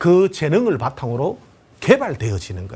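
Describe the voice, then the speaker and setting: On a very clean recording with a silent background, a man with a fairly high pitch uses very wide pitch swings and vocal fry. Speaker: lecturer. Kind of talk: lecture. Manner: confident.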